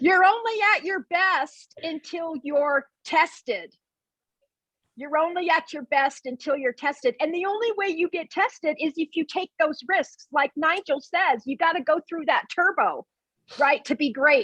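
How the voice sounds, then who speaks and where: A woman speaks at an extremely high pitch with a bright, sharp, energetic and intense tone, lively intonation and a fairly slow pace, in dry, close sound with no echo. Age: 60s. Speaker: event planner. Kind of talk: casual chat.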